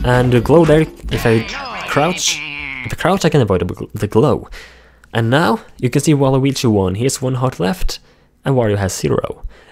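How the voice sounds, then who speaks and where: A man's medium-pitched voice over background music. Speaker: gaming YouTuber and fan game developer. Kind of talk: gameplay commentary tutorial. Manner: halting, self-correcting; fast.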